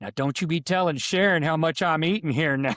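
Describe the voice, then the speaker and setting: A man booms out a put-on character voice, loud and at a fairly high pitch. His pace is fairly quick. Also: ordinary pitch variation. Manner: loud, booming.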